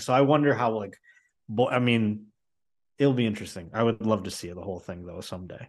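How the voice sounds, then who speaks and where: A speaker with an American accent has an unremarkable speaking voice and ordinary pitch variation. The background is quiet. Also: man. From Buffalo, New York. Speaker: comedian. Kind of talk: casual chat.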